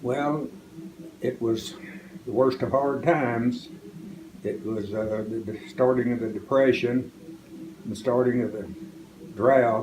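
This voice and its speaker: Speaking very slowly, a man with an American accent keeps a medium pitch and ordinary pitch variation. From southwest Oklahoma. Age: 80s+. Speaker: farmer. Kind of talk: interview answer.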